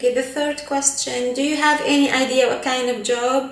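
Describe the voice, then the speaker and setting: Speaking at a moderate pace with a non-native accent, a woman is heard over noticeable background noise and audible room echo. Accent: non-native English, others laugh at it. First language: not English (Arabic or French). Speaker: flight attendant vlogger. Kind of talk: casual Q&A vlog. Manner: animated.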